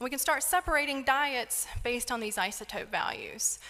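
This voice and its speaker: Speaking at a moderate pace with a slight North Carolina accent, a woman uses ordinary pitch variation. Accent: slight Southern US (North Carolina). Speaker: isotope scientist. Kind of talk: lecture.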